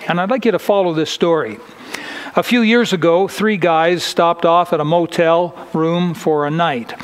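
The delivery moves at a moderate pace. Pitch varies in an ordinary way. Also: man. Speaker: preacher. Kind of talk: sermon. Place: church.

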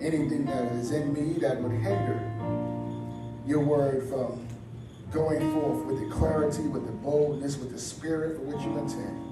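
With clear music in the background and audible room echo, a man speaks at a fairly slow pace with ordinary pitch variation. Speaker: pastor. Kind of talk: prayer then sermon. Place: church.

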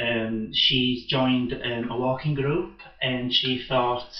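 The delivery is monotone and flat at a fairly slow pace, with audible room echo. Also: man. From Yorkshire. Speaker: spoken word artist. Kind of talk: live performance introduction. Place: cafe.

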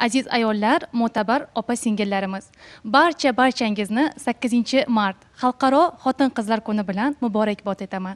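A woman with a fairly high pitch speaks at a moderate pace, her pitch varying in an ordinary way. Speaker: news anchor. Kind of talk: poetry reading and greeting. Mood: warm, festive. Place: studio. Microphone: handheld.

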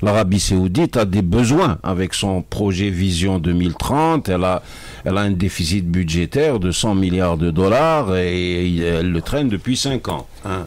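Words arrive at a very slow pace, carried by ordinary pitch variation. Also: man, very deep, low pitch for a man. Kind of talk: interview answer. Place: studio. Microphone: studio mic.

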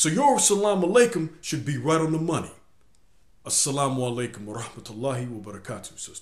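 Over a quiet background with audible room echo, a man speaks somewhat breathily at a very fast pace and fairly high pitch, with very wide pitch swings and big swings in loudness. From US, inner city. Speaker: video blogger. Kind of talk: video blog monologue. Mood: earnest, instructive. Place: home room. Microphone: webcam.

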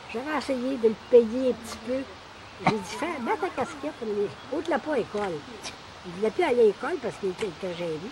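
A woman speaks at a high pitch with very wide pitch swings. Her pace is fairly quick, with noticeable background noise. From Quebec. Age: 80s+. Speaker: elderly relative sharing family memories. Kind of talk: casual storytelling. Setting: cottage. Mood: animated, reminiscing. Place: garden.

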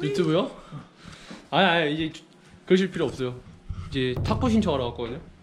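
A man at a fairly high pitch and very fast pace, with lively intonation, long, frequent pauses and noticeable background noise. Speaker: professional baseball player. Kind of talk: casual vlog talk to camera.

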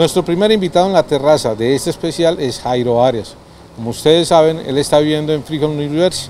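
Against light background noise, a man speaks very fast with ordinary pitch variation. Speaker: TV program host. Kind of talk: presenting, introducing segments. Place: street. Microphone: handheld.

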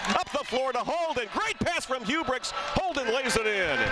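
Over loud background noise, a man's raised, projected voice carries an energetic tone in a dry sound with no echo. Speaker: basketball play-by-play announcer. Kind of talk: live sports commentary, play-by-play call of a basketball game. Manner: fast, energetic, rapid-fire play-by-play; excitable at big plays, rising into the dunk call. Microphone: headset.

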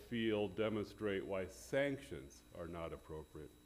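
The man's delivery is fairly slow. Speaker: attorney arguing before court. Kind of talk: legal oral argument. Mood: formal, measured. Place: hall.

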